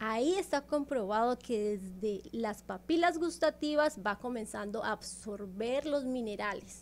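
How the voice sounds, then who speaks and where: A woman's fairly high voice in a Colombian accent, with lively intonation at a fairly slow pace. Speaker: naturopath promoting sea water therapy. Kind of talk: promotional interview talk. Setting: radio studio. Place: studio. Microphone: studio mic.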